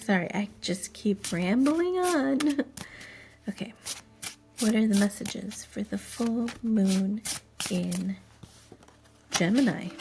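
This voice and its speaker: A woman at medium pitch with lively intonation, a very slow pace, and long, frequent pauses. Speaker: tarot reader. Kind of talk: tarot reading. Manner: louder and more active than usual; hesitant, many fillers.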